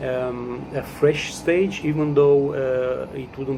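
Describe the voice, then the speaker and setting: Through noticeable background noise, a man talks in a fairly high voice with fairly even intonation. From Romania. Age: 40s. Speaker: customer service worker sharing his views. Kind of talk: personal testimony. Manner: halting, many fillers.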